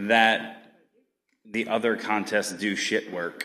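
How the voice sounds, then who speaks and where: The pace of this man's speech is fairly slow. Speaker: contests department head; conference organizer hosting ceremony. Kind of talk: closing ceremony speech. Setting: stage with audience. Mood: relaxed, joking. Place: hall. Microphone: podium.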